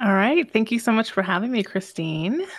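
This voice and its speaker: A woman speaks in a soft-spoken, calm tone. The recording is very clean, with a silent background. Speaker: podcast host and business mentor. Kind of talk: casual interview chat about sales and mindset. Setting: live radio broadcast conversation. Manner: calm, soft-spoken, introverted.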